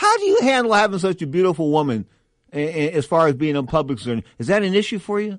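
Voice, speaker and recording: A man with a high voice, an animated, energetic tone, lively intonation and a very fast pace, over a quiet background. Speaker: boxing radio host. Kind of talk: radio sports talk show. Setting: studio.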